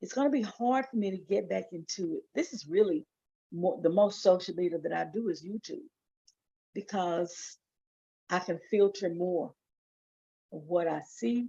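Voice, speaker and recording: Her tone dark and mellow, a woman speaks at a moderate pace with lively intonation and long, frequent pauses. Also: medium pitch for a woman. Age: old. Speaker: Bible study livestreamer. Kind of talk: casual livestream talk and reading aloud. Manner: halting.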